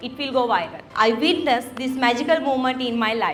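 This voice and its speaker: Speaking in a Sri Lankan accent, a woman has a high pitch and ordinary pitch variation. Her pace is moderate, with noticeable background noise behind her. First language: Sinhalese. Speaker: content creator and keynote speaker. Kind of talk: keynote speech.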